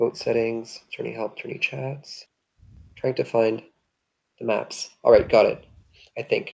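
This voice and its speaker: A man pauses long and often while keeping a moderate pace. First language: French and Hungarian. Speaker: online strategy game streamer. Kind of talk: casual chat while gaming. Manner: hesitant, searching for words.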